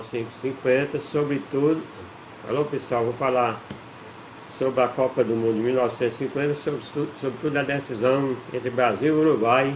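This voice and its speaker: This man talks at a moderate pace with a medium pitch. His intonation is fairly even, and there is noticeable background noise. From Brazil, Ceará interior (Northeast). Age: 60s. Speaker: amateur football historian, channel owner. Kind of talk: casual talk-to-camera history explainer. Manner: halting, with repetitions and fillers.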